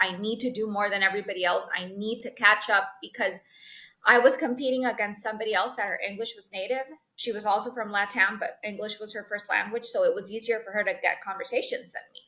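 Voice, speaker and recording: Speaking very fast, a woman with a Spanish accent uses a fairly high pitch. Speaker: sales executive. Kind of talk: interview. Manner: animated.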